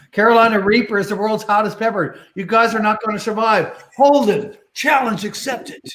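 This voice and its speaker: A man with a Newfoundland accent, a high pitch, and hardly any pauses. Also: ordinary pitch variation, moderate pace. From Newfoundland, near St. John's. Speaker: bingo show host. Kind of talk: casual banter while calling bingo.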